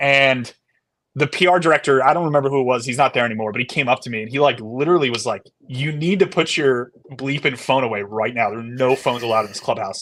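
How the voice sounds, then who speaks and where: At a very fast pace, a man speaks at a medium pitch with ordinary pitch variation in a very clean recording with a silent background. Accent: American. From Connecticut, US Northeast. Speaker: baseball analyst. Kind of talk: casual chat. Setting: podcast live stream.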